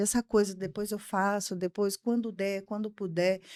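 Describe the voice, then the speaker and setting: The woman's dark, mellow tone sounds dry and close with no echo, in a very clean recording with a silent background. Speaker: psychologist. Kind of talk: podcast interview.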